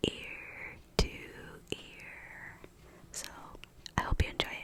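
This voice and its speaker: Someone whispers over noticeable background noise. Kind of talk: casual talk to camera. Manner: whispered.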